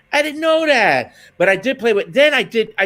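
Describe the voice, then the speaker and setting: An animated man's raised, projected voice, bright and sharp in tone, with very wide pitch swings and a fairly quick pace. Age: 50s. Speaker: jazz trumpeter and music educator. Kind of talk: interview.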